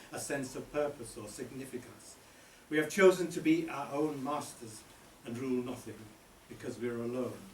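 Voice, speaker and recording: With a medium pitch and a moderate pace, a man's voice is heard through noticeable background noise. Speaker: poet. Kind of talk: spoken word poetry performance. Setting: live venue.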